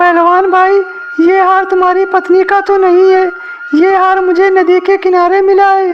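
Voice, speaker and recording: A cartoonish character voice pitched extremely high keeps a monotone, flat intonation at a moderate pace. Clear background noise sits behind it. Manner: earnest, polite.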